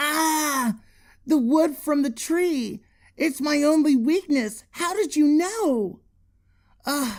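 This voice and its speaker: Using a put-on character voice, the speaker talks very slowly at a high pitch, with long, frequent pauses. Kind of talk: read story. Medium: read story. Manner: dramatic, exclaiming.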